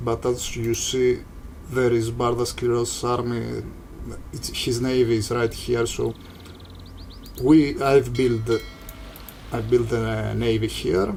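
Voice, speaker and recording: With a non-native accent, a man speaks at a very slow pace, leaving long, frequent pauses. Music plays in the background and room echo is audible. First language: not English. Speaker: gaming YouTuber. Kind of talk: gameplay commentary. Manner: halting.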